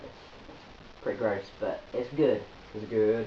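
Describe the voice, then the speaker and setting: A man with an English accent talks, and audible room echo surrounds his voice. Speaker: video blogger. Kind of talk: vlog update. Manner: hesitant, many fillers.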